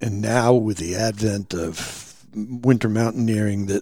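The man's pitch is fairly low and his pace fairly slow. There is noticeable background noise. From New Hampshire, Lakes Region. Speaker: retired game warden and outdoor guide. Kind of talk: casual interview. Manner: halting, repeats words.

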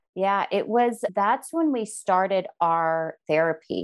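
A woman speaks in an unremarkable speaking voice at a fairly slow pace. Her pitch variation is ordinary. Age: 40s. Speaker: mother sharing infertility and surrogacy story. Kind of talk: interview conversation.

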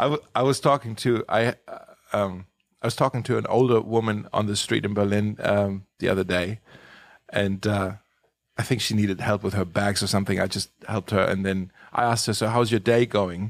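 Fairly even intonation comes through in a very clean recording with a silent background. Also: man, fairly low pitch for a man, fairly quick pace. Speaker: pastor. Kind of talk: casual chat. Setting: studio. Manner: halting.

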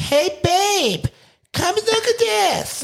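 This is a put-on character voice. It is squeaky and extremely high in pitch. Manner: loud.

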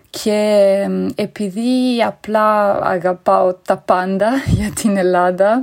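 A woman with an Italian accent, speaking at a very slow pace. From Italy. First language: Italian (speaking Greek). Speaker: conference interpreter, listener. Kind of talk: recorded voice message.

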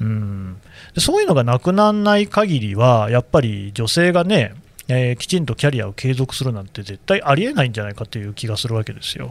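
At a fairly quick pace, a man speaks at a medium pitch with very wide pitch swings and big swings in loudness. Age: 40s. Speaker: newspaper podcast host. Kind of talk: casual interview.

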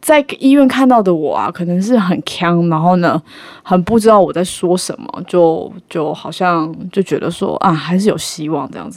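A woman speaks at a moderate pace with a fairly low pitch. Her loudness swings widely. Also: lively intonation. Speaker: actor and podcast host. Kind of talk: casual chat.

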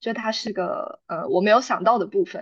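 Her pitch is fairly high for a woman, and her pace is moderate. The background is quiet. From Taiwan. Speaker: graduate student. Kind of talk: interview. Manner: clear enunciation.

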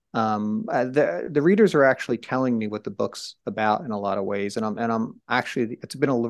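Against a quiet background, the speaker talks at a moderate pace with an American accent. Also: man. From New Jersey, Trenton. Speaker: journalist and author. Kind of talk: interview. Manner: halting.

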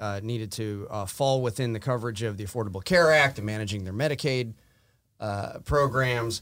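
A man with an American accent speaks at a moderate pace, his medium pitch showing ordinary variation. The recording is very clean, with a silent background. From Wisconsin, US Midwest. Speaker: lawyer. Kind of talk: legal discussion interview.

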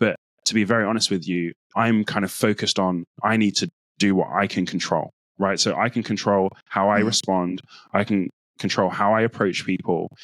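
With a British accent, a man speaks at a fairly quick pace in a fairly low voice with fairly even intonation and very even loudness. The recording is very clean and dry, with a close sound, no echo and a silent background. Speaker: data analyst and speaker. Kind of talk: casual interview.

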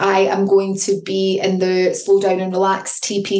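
A woman of medium pitch speaks amid noticeable background noise and audible room echo. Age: 40s. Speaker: podcast host and intuitive coach. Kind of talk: solo motivational talk. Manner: animated.

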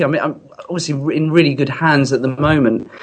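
Here a man with a British accent talks at a fairly quick pace. His pitch is fairly high and varies in an ordinary way. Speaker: singer-songwriter. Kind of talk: casual chat. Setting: phone call.

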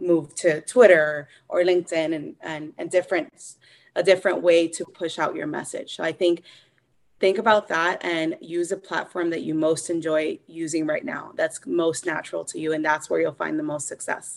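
A woman speaks at a moderate pace in a fairly low voice. The background is quiet. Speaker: author and editor. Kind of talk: casual interview chat. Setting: members coaching session. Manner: hesitant, filler-heavy.

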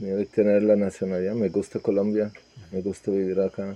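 Dry and close with no echo, the recording captures a man's dark, mellow tone. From Serbia. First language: Serbian (speaking Spanish). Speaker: immigrant interviewee. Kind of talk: interview testimony. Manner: halting, repeated words.

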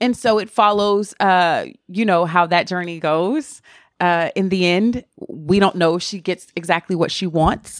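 In a very clean recording with a silent background, a woman speaks at a fairly slow pace and medium pitch with ordinary pitch variation. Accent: Southern US. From US South. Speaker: TV personality. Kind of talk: casual interview chat.

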